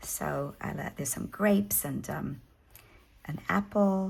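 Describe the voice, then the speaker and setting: A woman with a South African accent and vocal fry. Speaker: hobby craft YouTuber. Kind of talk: casual show-and-tell tutorial. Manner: hesitant, many fillers.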